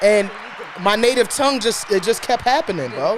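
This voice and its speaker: Over crowd noise in the background, a man with a Brooklyn accent speaks fairly quickly in an animated tone with lively intonation. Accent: Brooklyn New York. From New York, Brooklyn. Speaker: podcast co-host. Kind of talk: casual chat.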